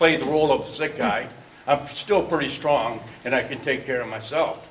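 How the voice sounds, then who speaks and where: Over noticeable background noise and audible room echo, a man talks at a fairly quick pace in a fairly high voice with ordinary pitch variation. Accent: American. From Michigan, Detroit area. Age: 60s. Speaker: resident speaking at town hall, Vietnam-era veteran. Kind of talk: public comment at community meeting. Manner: halting, repeats words.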